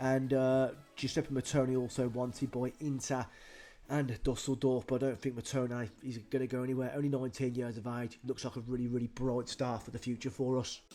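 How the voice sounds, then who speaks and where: A man with a British accent, medium-pitched and dark, mellow in tone, at a fairly quick pace, in a very clean recording with a silent background. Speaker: gaming youtuber. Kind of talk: game commentary. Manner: animated.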